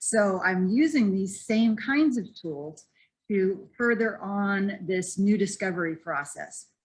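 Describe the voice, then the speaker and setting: A woman speaks at a medium pitch in a somewhat breathy voice with ordinary pitch variation. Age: 60s. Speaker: startup founder, personal growth coach. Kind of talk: pitch presentation.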